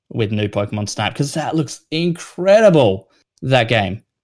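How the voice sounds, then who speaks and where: A man speaks with an Australian accent and lively intonation. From South Australia. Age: 20s. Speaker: gaming news writer and editor. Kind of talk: casual chat.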